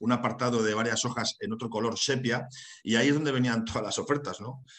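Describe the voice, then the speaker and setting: Man with a northern Spanish accent at a fairly quick pace, monotone and flat, against a quiet background. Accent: northern Peninsular Spanish. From northern Spain, Santander; Spain. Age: 40s. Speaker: HR consultant and university lecturer; webinar presenter. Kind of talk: webinar lecture. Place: home room. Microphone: webcam.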